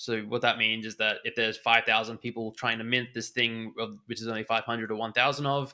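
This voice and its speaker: With an Australian accent and a bright, sharp tone, a man speaks fairly quickly in a flat monotone, captured in a very clean recording with a silent background. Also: medium pitch for a man, hardly any pauses. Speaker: NFT trader and former poker player. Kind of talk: podcast interview.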